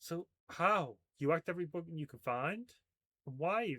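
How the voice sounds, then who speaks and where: A man puts on a croaky character voice, pitched high for a man, with lively intonation. He talks at a moderate pace in a dry, close sound with no echo. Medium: read story.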